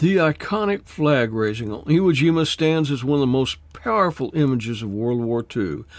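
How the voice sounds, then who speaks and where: Hardly pausing, a man talks at a moderate pace in a normal speaking voice, fairly high-pitched with lively intonation. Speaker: podcast host. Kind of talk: podcast intro narration.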